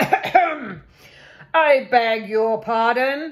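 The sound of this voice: A female-sounding voice puts on a growling character voice. Her pitch sits high.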